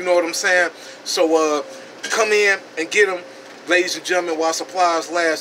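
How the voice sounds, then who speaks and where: High-pitched, a man talks at a fairly quick pace. His intonation is fairly even, over light background noise. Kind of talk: casual product review. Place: shop. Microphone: phone near.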